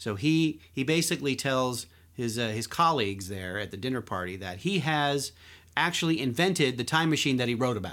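In an unremarkable speaking voice, a man with an American accent talks at a fairly quick pace and medium pitch. His intonation is lively, and the recording is very clean with a silent background. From Philadelphia. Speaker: podcast host, magazine writer. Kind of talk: casual chat.

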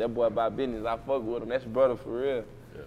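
Speaking with an American accent, a man is heard. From Waco, Texas. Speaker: rapper. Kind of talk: casual interview.

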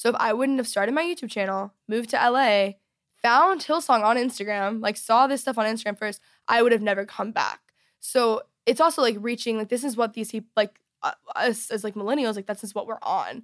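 A woman with an American accent, a fairly high pitch, ordinary pitch variation and a fairly quick pace, an ordinary speaking voice, on a very clean recording with a silent background. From Texas. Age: 20s. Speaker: youtuber and podcaster. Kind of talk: interview, personal testimony. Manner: casual, many fillers.

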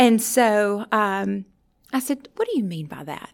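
A woman with a Louisiana accent speaks at a medium pitch with ordinary pitch variation. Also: very clean recording, silent background. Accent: Southern US (Louisiana). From US South, rural northern Louisiana. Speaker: university counseling director. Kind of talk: interview. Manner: halting.

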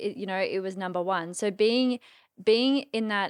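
Against a silent background in a very clean recording, a woman speaks at medium pitch and a fairly quick pace. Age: 20s. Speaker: coach. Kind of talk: casual interview chat.

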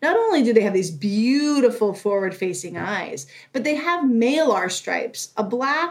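A woman with an American accent has a plain, everyday voice. Her pitch is fairly high, her intonation lively and her pace fairly slow. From Northern California. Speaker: zoo animal care supervisor. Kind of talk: interview, explaining to kids.

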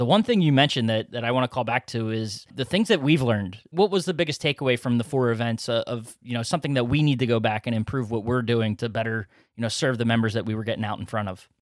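In a very clean, dry, close recording with a silent background and no echo, a man with an American accent and medium pitch talks very fast with ordinary pitch variation and hardly any pauses. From Philadelphia. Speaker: podcast host. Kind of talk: casual podcast conversation. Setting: studio with microphones. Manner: jokey, friendly.

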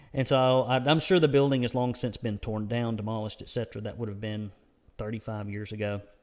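Very fast speech from a medium-pitched man with a Southern US accent and fairly even intonation. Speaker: conservative news publisher and podcast host. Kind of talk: news commentary monologue. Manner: rambling; casual, frequent filler words.

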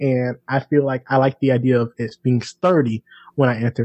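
With a Southern US accent, the speaker talks at a moderate pace in a somewhat breathy voice. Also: man. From US South, small town. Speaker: podcast guest. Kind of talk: casual chat.

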